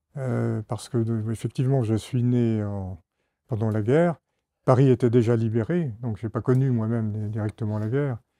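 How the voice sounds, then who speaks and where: In a dark, mellow tone, a man speaks with fairly even intonation, and the sound is dry and close with no echo. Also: medium pitch for a man, moderate pace, quiet background. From France, Isère (Grenoble area). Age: 70s. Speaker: retired diplomat. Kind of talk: testimony. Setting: classroom with children. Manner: halting.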